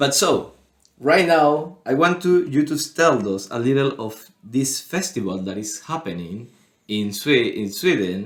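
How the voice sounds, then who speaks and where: With a Spanish accent, a man speaks at a fairly slow pace. His pitch is fairly high and swings very widely. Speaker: podcast co-host. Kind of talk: casual chat. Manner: halting.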